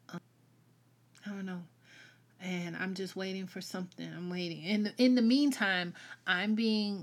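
A woman with a Southern US accent at a moderate pace, on a very clean recording with a silent background. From US South. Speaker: podcast host. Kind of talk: solo podcast monologue. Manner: casual, rambling, halting.

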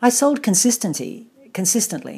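A woman with an Australian accent, dark and mellow in tone, with very wide pitch swings, vocal fry and a moderate pace. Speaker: artist and author. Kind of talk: personal account.

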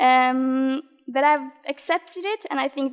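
In a Norwegian accent, a woman speaks with a high pitch and ordinary pitch variation, recorded with a dry, close sound and no echo. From Norway. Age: 20s. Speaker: badminton player. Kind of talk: interview. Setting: studio.

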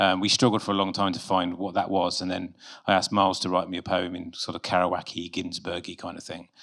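A man talks at a very fast pace in a very deep, low pitch. His intonation is monotone and flat. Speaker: filmmaker, award winner.

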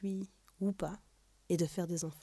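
Her dark, mellow tone sits at a medium pitch as this woman talks at a moderate pace in a monotone, flat intonation. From France. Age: 30s. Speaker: storyteller. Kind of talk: scripted narration.

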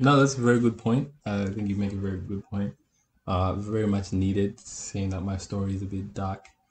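Speaking at a fairly quick pace, a man with a fairly low pitch sounds somewhat breathy. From Zimbabwe. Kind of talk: casual chat.

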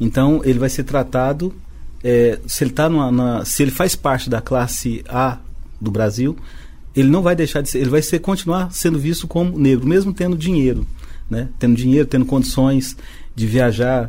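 A man speaks at a moderate pace in a medium pitch, his tone dark and mellow, with ordinary pitch variation. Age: 50s. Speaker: business association president. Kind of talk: radio podcast interview.

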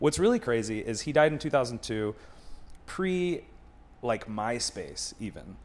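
Speaking in an American accent at a fairly slow pace, a man with a medium pitch uses lively intonation and long, frequent pauses. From Buffalo, New York. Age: 30s. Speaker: comedian. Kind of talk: casual chat.

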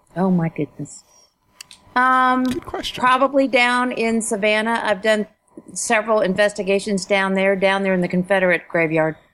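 With an American accent, a woman talks at a moderate pace in a normal speaking voice, her medium pitch showing ordinary pitch variation. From Ohio, Dayton. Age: 50s. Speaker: writer and teacher. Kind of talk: interview.

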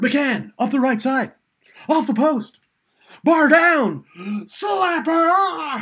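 This is a put-on character voice pitched high. The delivery is very slow. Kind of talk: fast broadcast commentary.

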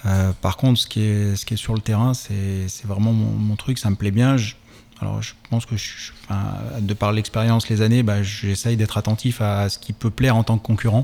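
A man talks at a moderate pace in a fairly low pitch, his intonation monotone and flat. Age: 40s. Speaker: amateur cross triathlon champion and physiotherapist. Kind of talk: radio interview. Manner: halting, many hesitations.

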